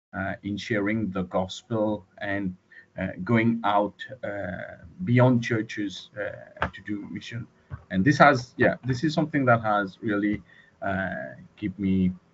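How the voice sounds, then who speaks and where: A man with a non-native accent speaks very slowly in a fairly low voice, with ordinary pitch variation and big swings in loudness. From Mauritius. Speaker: student. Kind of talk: online class introduction. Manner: halting.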